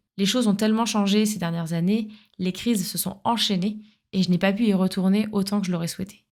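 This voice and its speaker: In a very clean recording with a silent background, a woman speaks fairly quickly at a medium pitch, her voice somewhat breathy and her intonation flat and monotone. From France, Paris suburbs (Essonne). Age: 30s. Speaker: podcast host. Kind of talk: scripted narration.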